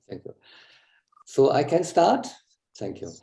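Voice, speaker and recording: A somewhat breathy man's voice, dark and mellow in tone, with a German accent. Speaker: psychoanalyst and yoga student. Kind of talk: talk.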